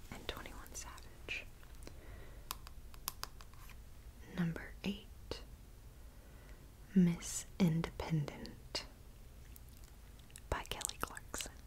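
Whispering and soft-spoken, a woman talks very slowly over light background noise, with big swings in loudness and long, frequent pauses. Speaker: vlogger. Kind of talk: casual vlog chat. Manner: soft-spoken ASMR murmur, near whisper. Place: home room. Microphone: earbuds.

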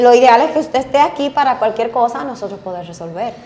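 Speaking fairly quickly, a woman uses a high pitch and a Dominican accent. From Mao, Dominican Republic; Dominican Republic. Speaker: bariatric surgeon; guest. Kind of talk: casual interview chat. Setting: studio. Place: studio. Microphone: lapel.

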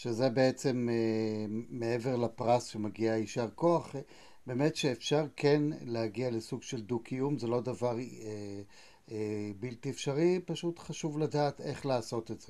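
A man with a dark, mellow tone talks at a fairly slow pace, showing ordinary pitch variation and big swings in loudness. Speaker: interviewer. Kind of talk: interview. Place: home room. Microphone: earbuds.

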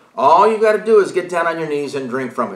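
Audible room echo surrounds the voice against a quiet background. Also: man. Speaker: Bible study teacher. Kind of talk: lecture. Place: home room.

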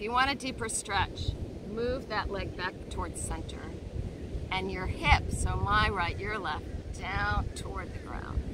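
At a very slow pace, a woman speaks in a gentle tone, the sound dry with no echo and noticeable background noise around her. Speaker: yoga instructor. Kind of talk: guided yoga class cueing poses and breaths step by step. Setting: outdoors on a beach. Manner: gentle, encouraging, informal with self-deprecating laughs; warm, affectionate, soothing. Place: beach.

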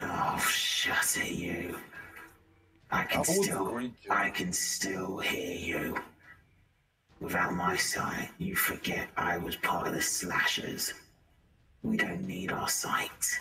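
A man's put-on character voice at a very slow pace, broken by long, frequent pauses. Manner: defiant, blunt, protective.

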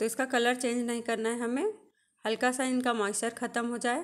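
With fairly even intonation, a woman talks at a moderate pace over a quiet background. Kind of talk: tutorial. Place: kitchen.

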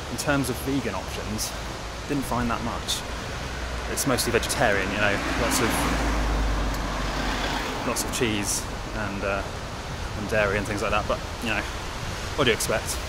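A man talks with long, frequent pauses in a dry sound with no echo, over loud background noise. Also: moderate pace. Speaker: travel vlogger. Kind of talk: casual vlog chat. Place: street. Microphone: phone near.

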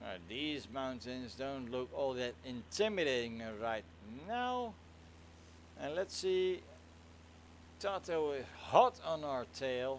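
Speaking in a Dutch accent, a man moves at a very slow pace with long pauses coming often. His pitch swings very widely. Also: medium pitch for a man. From Netherlands. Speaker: flight sim streamer. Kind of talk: casual live stream chat. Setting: live stream.

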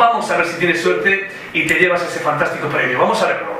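Fairly quick speech amid audible room echo. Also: man. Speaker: radio host. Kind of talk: live radio show. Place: studio.

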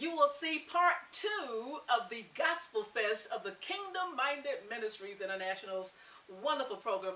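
Her high-pitched voice moves in very wide pitch swings as the woman speaks. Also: moderate pace. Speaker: TV host and producer. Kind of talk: TV show introduction. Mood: warm, upbeat. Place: home room.

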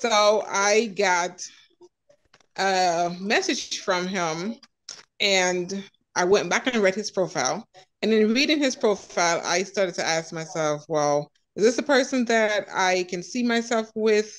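A woman is speaking at a fairly slow pace. Her pitch shows ordinary variation. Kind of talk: personal story in group discussion. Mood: reflective, slightly amused. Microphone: video call.

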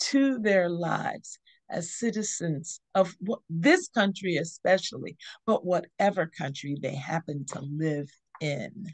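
Against a quiet background, a woman speaks at a very slow pace in a fairly low voice with lively intonation. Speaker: teaching host. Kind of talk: devotional teaching. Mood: warm, smiling. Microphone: video call.

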